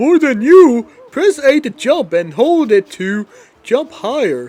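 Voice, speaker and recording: A man does a put-on character voice at an extremely high pitch, speaking at a fairly slow pace. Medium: game stream. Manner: patient, helpful.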